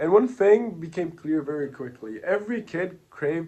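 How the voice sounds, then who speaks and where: Using a Portuguese accent, a man speaks at a moderate pace in a dark, mellow tone. His fairly high pitch moves with lively intonation. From Brazil. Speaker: entrepreneur. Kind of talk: personal story pitch.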